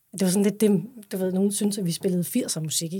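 Somewhat breathy with a dark, mellow tone, a woman at medium pitch speaks at a fairly quick pace. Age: 40s. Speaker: singer. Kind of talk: interview.

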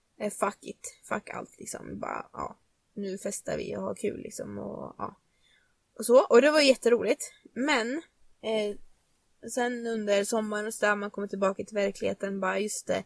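Her loudness swings widely as a woman talks at a moderate pace in a dry, close sound with no echo. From Nora, Sweden. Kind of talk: casual chat. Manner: casual, storytelling.

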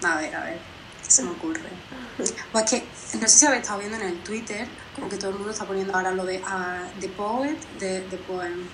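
In a room with audible echo and noticeable background noise, a woman at medium pitch talks fairly quickly with ordinary pitch variation, big swings in loudness, and long, frequent pauses. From Málaga, Andalusia, Spain. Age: 20s. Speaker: musician. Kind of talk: interview.

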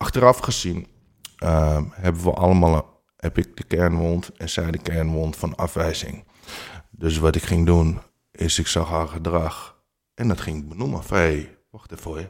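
The man's pitch is very deep and low, and his pace is moderate. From Amsterdam, Netherlands. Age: 40s. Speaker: life coach with lived experience of infidelity. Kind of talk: interview testimony. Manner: hesitant, many filler sounds.

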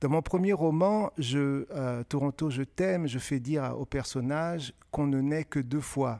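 In a very clean recording with a silent background and a dry, close sound with no echo, a man speaks in a dark, mellow tone at a fairly high pitch, fairly slowly, with hardly any pauses and ordinary pitch variation. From West Africa (Benin, Côte d'Ivoire). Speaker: author. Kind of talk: interview before a live audience.

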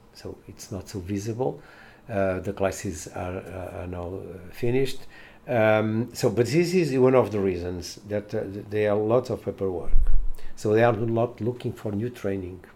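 Music plays in the background as a man with a Portuguese accent speaks. His voice is fairly low, with ordinary pitch variation. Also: moderate pace. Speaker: education professor. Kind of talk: interview. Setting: on location. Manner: halting.

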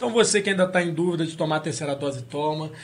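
With a high voice and ordinary pitch variation, a man speaks at a very fast pace. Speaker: podcast host. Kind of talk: casual chat. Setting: studio.

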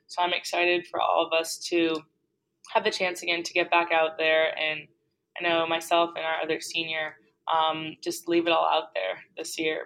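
Her intonation is monotone and flat as a woman speaks at a moderate pace. Her pitch sits fairly low. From Boston area. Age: 20s. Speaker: college basketball captain. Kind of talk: casual interview.

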